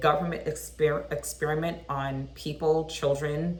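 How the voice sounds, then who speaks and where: This recording features a woman talking. The room's echo is audible. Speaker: vlogger. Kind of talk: casual chat. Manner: animated.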